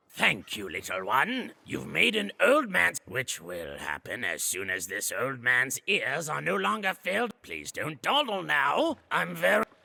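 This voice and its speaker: Using a put-on character voice, a man talks at a fairly slow pace and medium pitch. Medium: video game. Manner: grumbling, cranky.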